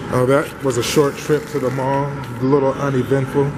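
A man speaks at a fairly slow pace with music playing in the background. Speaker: vlogger. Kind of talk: casual vlog chat. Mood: playful, joking. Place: street. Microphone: phone near.

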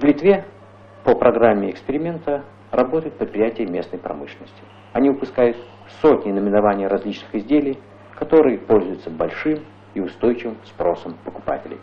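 A man speaks at a fairly quick pace with very wide pitch swings. He leaves long, frequent pauses. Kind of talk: 1985 Soviet newsreel narration. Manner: formal, measured, stately announcer delivery; even, authoritative, declarative tone. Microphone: old recording.

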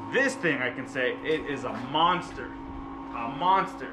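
A man talks while music runs in the background. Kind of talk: casual vlog tour. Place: garage.

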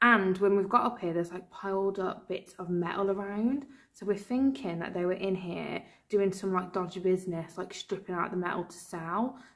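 A woman talks at a moderate pace with ordinary pitch variation. Behind her, the background is quiet. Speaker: paranormal investigator vlogger. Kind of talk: casual vlog chat. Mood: slightly nervous, playful. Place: empty room. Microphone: phone near.

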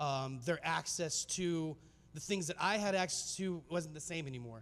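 This man's voice sits fairly high for a man and moves through an ordinary range of pitch. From US Southwest, Phoenix, Arizona. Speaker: filmmaker and speaker; presenter. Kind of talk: conference talk. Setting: stage with audience. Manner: casual, many filler words. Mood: earnest, reflective storytelling. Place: hall. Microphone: handheld.

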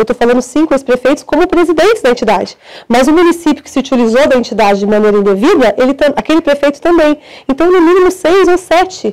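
Against a quiet background, a woman with a high pitch races at a very fast pace with lively intonation. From northern Paraná, Brazil. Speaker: prosecutor. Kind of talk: interview. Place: studio. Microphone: lapel.

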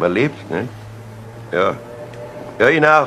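In a put-on character voice, the speaker goes slowly with a bright, sharp tone and big pitch swings. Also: man, medium pitch for a man.

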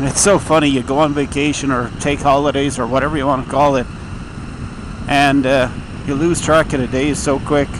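Noticeable background noise sits behind a man talking at a fairly quick pace in a flat monotone, with a dry sound and no echo. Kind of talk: casual vlog chat. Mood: relaxed, reflective. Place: motorbike. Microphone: helmet.

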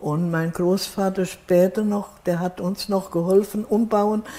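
A woman at a very slow pace, with fairly even intonation. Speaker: contemporary witness. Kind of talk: interview answer. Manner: hesitant. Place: home room. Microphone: lapel.

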